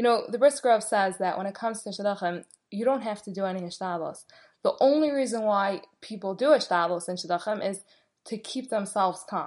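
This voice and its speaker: A woman speaks at a fairly quick pace in a medium pitch, with ordinary pitch variation. Her tone is animated and cheerful. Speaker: podcast host. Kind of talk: venting rant to an audience, complaining about shidduch dating. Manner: exasperated, weary, sighing; animated, emphatic, cheerful start then bitter, frustrated.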